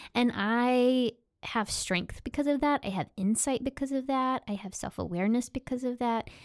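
A woman's high-pitched voice with ordinary pitch variation, in a very clean recording with a silent background and a dry, close sound with no echo. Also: moderate pace. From Oklahoma. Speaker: preacher and spiritual director. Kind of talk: interview.

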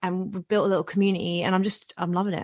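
A woman speaks with a British accent while music plays in the background. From England, partly raised in Ontario, Canada. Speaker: comedian and online video creator. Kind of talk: casual interview.

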